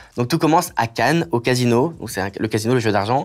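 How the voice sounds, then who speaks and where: The background is quiet as a man speaks at a fairly quick pace. His pitch sits in the medium range with ordinary variation. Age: 20s. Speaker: content creator. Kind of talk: interview, personal story. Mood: emotional personal story, animated. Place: studio.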